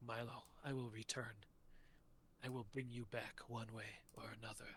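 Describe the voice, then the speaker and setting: Through clear background noise comes a put-on character voice at a moderate pace, its intonation monotone and flat. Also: man, medium pitch for a man. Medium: actual play. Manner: verbose, pompous.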